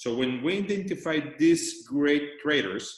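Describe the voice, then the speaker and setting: Speaking in a non-native accent, a man uses lively intonation. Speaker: company CEO. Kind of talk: business presentation.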